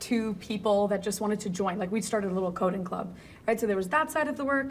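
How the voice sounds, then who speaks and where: A woman speaks at a medium pitch with audible room echo. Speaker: AI leader and advisor. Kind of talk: interview conversation. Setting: video call.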